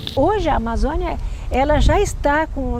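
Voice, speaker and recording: Noticeable background noise and audible room echo around a woman talking at a moderate pace. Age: 70s. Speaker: retired climate researcher. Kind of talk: documentary interview.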